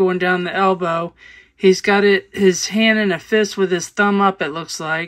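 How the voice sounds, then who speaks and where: This is a woman at a medium pitch. The recording is very clean, with a silent background. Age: old. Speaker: outdoor video creator. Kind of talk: vlog narration. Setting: outdoors in forest.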